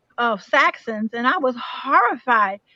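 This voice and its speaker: In an American accent, a woman speaks with a bright, sharp tone and a high pitch, showing ordinary pitch variation in a dry, close sound with no echo. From Chicago, US Midwest. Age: 70s. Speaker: panelist sharing life stories. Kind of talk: panel discussion.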